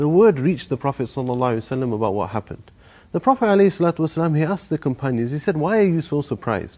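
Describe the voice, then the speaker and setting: Fairly quick and with lively intonation, a man speaks in a dark, mellow tone. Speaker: imam. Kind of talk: religious sermon reminder.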